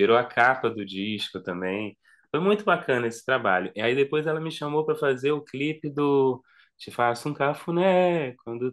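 With a quiet background behind him, a man speaks at a moderate pace with lively intonation. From Brazil, Rio de Janeiro. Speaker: singer-songwriter and music video director; guest. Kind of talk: casual interview chat. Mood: relaxed, warm reminiscing. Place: home room.

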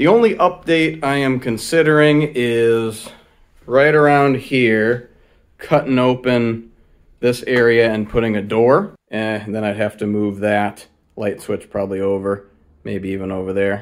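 A man talks at a fairly slow pace, his pitch varying in an ordinary way, and the background is quiet. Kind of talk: casual vlog tour. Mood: proud, relaxed. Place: workshop. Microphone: helmet.

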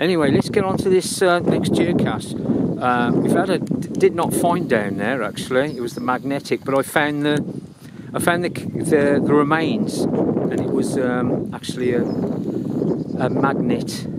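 A man talks at a fairly slow pace over loud background noise. The sound is dry, with no echo. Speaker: geocaching vlogger. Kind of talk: casual vlog chat. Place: open country. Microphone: phone near.

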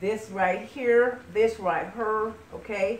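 A woman speaks over light background noise. The room echo is audible. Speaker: home cook host. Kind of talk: cooking tutorial. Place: kitchen. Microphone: camera far.

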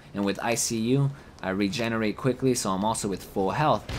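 A voice with ordinary pitch variation comes through noticeable background noise. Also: man. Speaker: gaming YouTuber. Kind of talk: gaming live commentary, casual and profane, recorded over gameplay. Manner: animated, frustrated, rapid chatter with constant swearing and reactions; casual, chatty, laughs at own mistakes.

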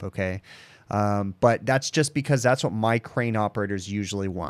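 Against a quiet background, a man with a plain, everyday voice speaks at a fairly low pitch with ordinary pitch variation. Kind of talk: tutorial. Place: home room. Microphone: studio mic.

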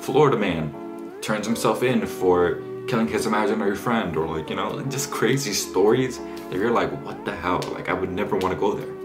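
Clear music plays in the background as a man talks in a fairly low pitch. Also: moderate pace. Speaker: student vlogger. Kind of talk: casual vlog chat. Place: home room.

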